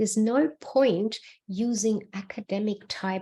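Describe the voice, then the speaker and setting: A woman with a non-native accent speaks at a very slow pace in a dark, mellow tone. The recording is very clean with a silent background. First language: not English. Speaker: book writing mentor. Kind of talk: solo video talk.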